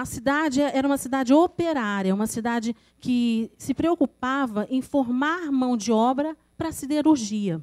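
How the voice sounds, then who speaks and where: Over a quiet background, a woman with a high pitch talks at a fairly slow pace with lively intonation. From Rio de Janeiro state, Brazil. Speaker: poet. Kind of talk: presentation. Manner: halting, repeats words. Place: meeting room. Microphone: podium.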